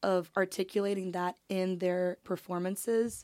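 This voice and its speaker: A woman speaks in a normal speaking voice at a medium pitch, her intonation fairly even, on a very clean recording with a silent background. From Canada. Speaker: podcast co-host. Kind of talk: casual chat.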